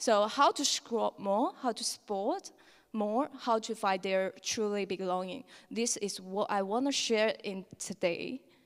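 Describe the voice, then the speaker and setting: With a Chinese accent, a woman speaks at a fairly slow pace and fairly high pitch with ordinary pitch variation. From China. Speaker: lightning talk speaker. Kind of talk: conference talk. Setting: stage with audience.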